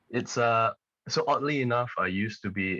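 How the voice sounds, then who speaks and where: A man's bright, sharp tone. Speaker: singer-songwriter. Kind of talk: podcast interview.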